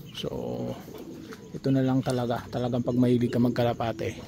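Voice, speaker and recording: A soft-spoken man talks fairly quickly at a medium pitch. His intonation is flat and monotone, and background noise is noticeable. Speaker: pigeon keeper vlogger. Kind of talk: casual vlog.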